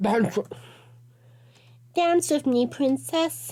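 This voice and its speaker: Gruff and high-pitched, a female-sounding put-on character voice carries the clip. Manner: grunting, demanding.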